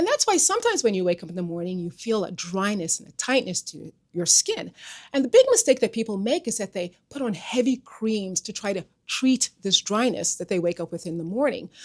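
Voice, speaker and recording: Using an ordinary speaking voice, a woman talks at a fairly high pitch and a fairly quick pace. Her intonation is lively and her loudness swings widely. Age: 60s. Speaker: regenerative medicine doctor and skincare creator. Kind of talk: social media talk to camera. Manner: conversational.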